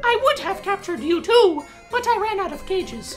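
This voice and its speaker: A female-sounding put-on character voice talks at a fairly quick pace and an extremely high pitch. Clear music plays in the background. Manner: haughty, regal.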